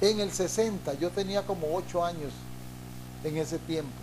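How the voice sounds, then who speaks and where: Audible room echo follows a man as he speaks. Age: 60s. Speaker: pastor. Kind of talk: sermon.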